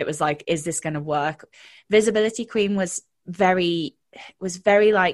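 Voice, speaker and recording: Someone with a British accent speaks at a moderate pace with ordinary pitch variation against a quiet background. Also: woman. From UK. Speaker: confidence and mindset coach. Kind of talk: casual interview chat.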